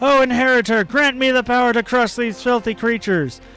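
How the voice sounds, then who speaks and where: Shouting at a fairly quick pace, a man in a put-on character voice hits an extremely high pitch over clear music in the background. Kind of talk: heroic, dramatic. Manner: yelling.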